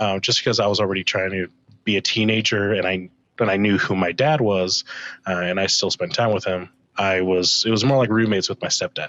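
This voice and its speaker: With an ordinary speaking voice, a man talks fairly quickly in a fairly low pitch at a very even loudness. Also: fairly even intonation. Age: 20s. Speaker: podcast guest, stepfather. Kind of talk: casual podcast chat.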